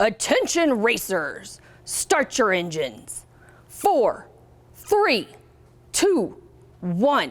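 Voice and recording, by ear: A woman puts on a high-pitched character voice with very wide pitch swings. She speaks very slowly, with long, frequent pauses.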